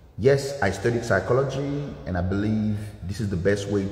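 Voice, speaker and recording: A man with a Haitian accent speaks at a fairly low pitch and moderate pace with ordinary pitch variation, amid audible room echo and noticeable background noise. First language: Haitian Creole. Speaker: dance instructor. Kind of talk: motivational livestream talk. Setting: livestream from dance studio.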